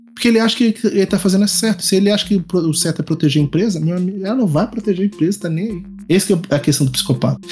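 A man talks at a very fast pace with hardly any pauses. His high voice shows ordinary pitch variation. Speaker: psychologist. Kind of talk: casual chat.

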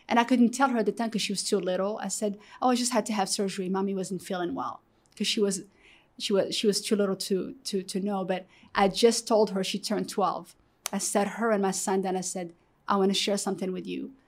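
A woman with an Arabic accent talks at a fairly quick pace and a medium pitch, her intonation fairly even, in a very clean recording with a silent background. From Morocco. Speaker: guest sharing life story. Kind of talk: testimony. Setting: studio. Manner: halting, many repetitions.

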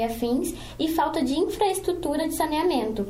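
With audible room echo and noticeable background noise, a woman talks at a moderate pace. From Brazil, Espírito Santo (Cariacica). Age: 20s. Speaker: student podcast co-host, teacher and ballet dancer. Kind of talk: casual chat with scripted reading.

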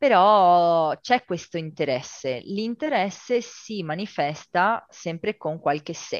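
The speech moves at a very slow pace with hardly any pauses, in a dry, close sound with no echo against a quiet background. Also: woman, fairly low pitch for a woman. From Italy, Veneto (Rovigo). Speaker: sustainability consultant. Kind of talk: interview.

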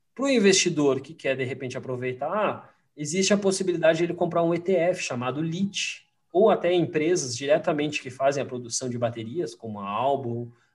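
A man speaks with lively intonation. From Rio Grande do Sul, Brazil (Farroupilha). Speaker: investment strategist. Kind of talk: casual interview chat. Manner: halting, repeats words.

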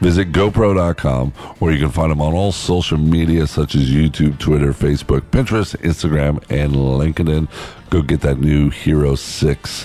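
Noticeable background noise sits behind a man speaking at a very deep, low pitch. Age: 50s. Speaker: podcast host. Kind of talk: casual chat. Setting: outdoors on a beach.

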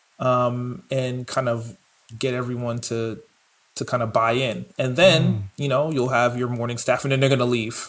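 A man with an American accent and an ordinary speaking voice, medium pitch, fairly even intonation, and a moderate pace. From New York. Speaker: chef and podcast co-host. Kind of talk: casual chat.

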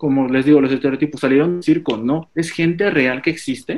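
This man talks at a moderate pace with a Mexican accent. His pitch is fairly high and varies in an ordinary way. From Mexico. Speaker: fashion stylist. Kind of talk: casual chat.

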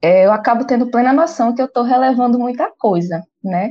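The woman's somewhat breathy voice moves along at a moderate pace. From Brazil, Pernambuco (Recife). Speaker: podcast co-host, gamer. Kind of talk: casual chat.

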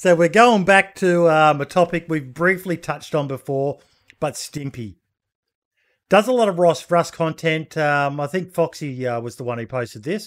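Speaking in an Australian accent, a man uses a fairly high voice with lively intonation. The recording is very clean, with a silent background. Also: moderate pace. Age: 40s. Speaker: podcast host. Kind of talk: casual chat. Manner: animated.

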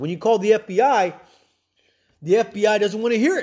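Speaking at a moderate pace, the man has a high pitch. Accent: American. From Texas, San Antonio. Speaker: podcast host. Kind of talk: monologue commentary. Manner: halting, repetitive.

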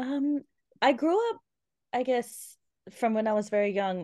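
A woman with an Australian accent speaks with lively intonation against a quiet background. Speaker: guest speaking about trauma. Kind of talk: interview.

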